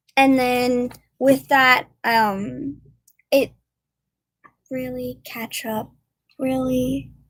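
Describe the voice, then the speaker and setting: In a Korean accent, a woman speaks at a very slow pace. Long, frequent pauses break her speech, and her loudness swings widely. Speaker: YouTuber. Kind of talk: live stream chat. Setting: livestream. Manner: halting, many fillers.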